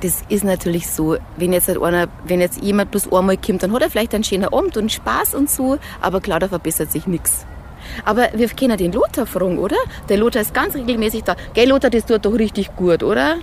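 A woman with a Bavarian accent speaks at a fairly quick pace and medium pitch, her tone animated. Her intonation is lively, and noticeable background noise runs behind her. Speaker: fitness instructor. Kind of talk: interview.

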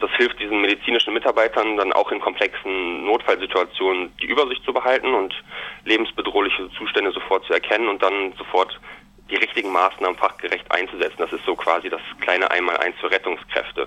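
A man speaks at a fairly quick pace while noticeable background noise plays behind him. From Germany, Münster (Westphalia). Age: 30s. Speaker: business student. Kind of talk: interview.

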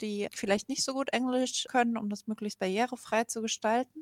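Here a woman speaks at a fairly quick pace in a fairly high pitch. The sound is dry and close, with no echo. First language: German. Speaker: radio host. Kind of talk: summary in German.

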